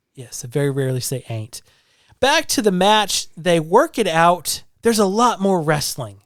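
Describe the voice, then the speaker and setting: The voice carries a slight Southern US accent at a moderate pace, with very wide pitch swings and big jumps in loudness. The recording is very clean, with a silent background. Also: man, high pitch for a man. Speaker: podcast co-host. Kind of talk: casual chat.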